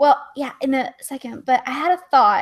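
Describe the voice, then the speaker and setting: Her voice high and her pitch variation ordinary, a woman speaks with a Texas accent. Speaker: livestream guest. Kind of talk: casual chat.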